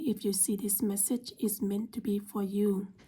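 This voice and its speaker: A woman's voice, fairly high in pitch and somewhat breathy, carries a dark, mellow tone. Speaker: tarot reader. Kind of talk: tarot reading.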